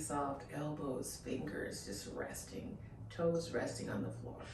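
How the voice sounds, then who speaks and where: A woman talks fairly slowly, with audible echo from the room and noticeable noise in the background. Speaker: fitness instructor. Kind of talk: guided exercise instruction. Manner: calm, soothing; casual, chatty.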